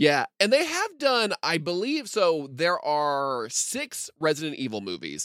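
Very clean audio of a male speaker, the background completely silent. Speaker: podcast host. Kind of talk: casual chat.

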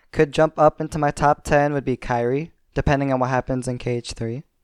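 A man speaks at a moderate pace with an American accent and fairly even intonation. The sound is dry and close, with no echo and a quiet background. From US Midwest, Minnesota. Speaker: podcast patron, gaming fan. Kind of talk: casual chat.

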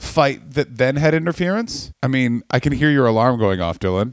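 On a very clean recording with a silent background, a man with an ordinary speaking voice talks at a moderate pace with lively intonation. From Canada. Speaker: comedian. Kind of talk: casual chat.

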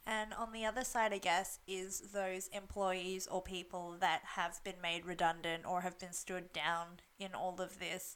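A woman talks with an Australian accent at a fairly slow pace. Her intonation is flat and monotone. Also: medium pitch for a woman, hardly any pauses. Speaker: podcast co-host, Chinese medicine graduate. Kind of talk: casual chat.

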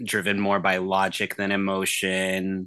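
A man's fairly low voice carries a bright, sharp tone over a quiet background. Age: 20s. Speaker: journalist. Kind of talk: casual chat.

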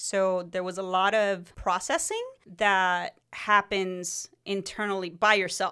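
In a very clean recording with a silent background, a woman with a Spanish accent talks at a medium pitch and a very slow pace, her intonation fairly even. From Mexico, then California. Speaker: podcast co-host. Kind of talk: casual chat.

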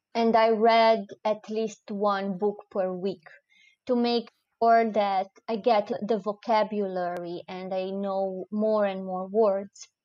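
A woman speaks at a very slow pace with a Romanian accent, her pitch medium. Her intonation stays monotone and flat. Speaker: expat content creator and writer. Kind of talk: casual interview chat. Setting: video call.

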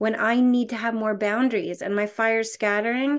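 An ordinary speaking voice moves at a fairly quick pace with ordinary pitch variation against a quiet background. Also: woman. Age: 50s. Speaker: author and coach on five archetypes. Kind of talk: casual interview.

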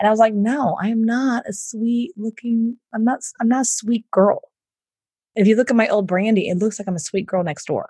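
A woman with an American accent speaks at a moderate pace in a fairly high, somewhat breathy voice with a dark, mellow tone and ordinary pitch variation, recorded dry and close with no echo against a quiet background. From Houston, Texas. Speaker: entrepreneur and business coach. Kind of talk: interview.

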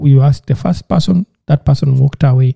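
A man's fairly high, dark, mellow voice, somewhat breathy, very fast, with fairly even intonation and a dry, close sound with no echo. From Uganda, rural village. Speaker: podcast host. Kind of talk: casual chat.

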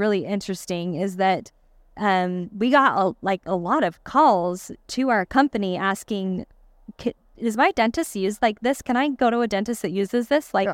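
On a very clean recording with a silent background, a woman speaks at a fairly slow pace with medium pitch and ordinary pitch variation. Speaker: dental hygienist and marketer. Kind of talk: live podcast interview. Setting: stage with audience. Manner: soft-spoken.

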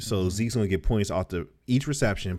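Fairly low in pitch, a man speaks with lively intonation at a fairly quick pace. He has an unremarkable speaking voice. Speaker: podcast co-host. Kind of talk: casual chat.

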